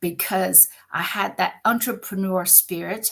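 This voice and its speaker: An animated woman speaks with vocal fry. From China. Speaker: communications business founder. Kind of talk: podcast interview.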